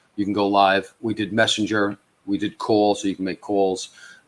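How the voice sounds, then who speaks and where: With a New York accent, a man talks at a fairly quick pace in a fairly low voice. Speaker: social media platform founder. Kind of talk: live stream interview. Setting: live stream. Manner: halting, many fillers.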